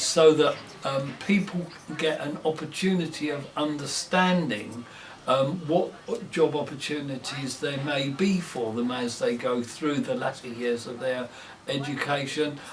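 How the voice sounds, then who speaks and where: Noticeable background noise sits behind a man's fairly high voice. He speaks at a fairly slow pace with ordinary pitch variation. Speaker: local councillor. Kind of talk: interview answer.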